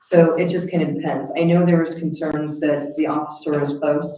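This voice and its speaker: This woman has a very deep, low pitch and speaks at a moderate pace. Room echo is audible. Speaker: county veterans affairs officer. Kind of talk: report to a county board meeting. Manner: loud; animated.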